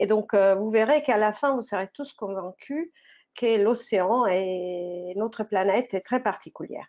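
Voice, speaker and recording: With a non-native accent, a woman speaks at a fairly slow pace. Her pitch is fairly high, with ordinary variation. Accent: foreign accent in French. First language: not French (speaking French). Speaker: oceanographer. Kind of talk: online science talk for teenagers. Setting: live online broadcast. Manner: halting, many fillers.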